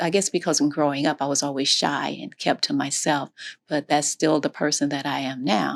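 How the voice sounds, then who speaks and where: A woman with an American accent speaks in a very deep, low pitch with vocal fry. Her pace is moderate, her pitch variation ordinary, and the sound dry and close with no echo. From Florida. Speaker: interviewee sharing life story. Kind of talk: interview. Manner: halting.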